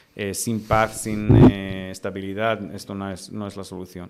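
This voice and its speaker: With music in the background, a man talks at a fairly slow pace in a fairly low, monotone, flat voice. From Israel. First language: Romanian (speaking Spanish). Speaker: human rights lawyer. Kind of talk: interview. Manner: halting, many fillers.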